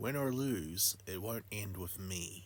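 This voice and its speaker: Against clear background noise, a man uses a put-on character voice at a fairly slow pace. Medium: solo performance. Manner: grim.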